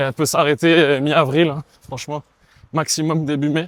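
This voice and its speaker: A man talks at a moderate pace and fairly high pitch. The sound is dry and close, with no echo. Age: 20s. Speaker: professional volleyball player. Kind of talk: casual interview while running. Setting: outdoors, running in a city amid roadworks.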